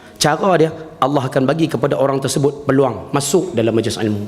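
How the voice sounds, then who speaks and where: Speaking at a fairly quick pace, a man uses lively intonation and an animated tone amid noticeable background noise and audible room echo. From northern Peninsular Malaysia. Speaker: religious teacher. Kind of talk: religious lecture. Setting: mosque with audience.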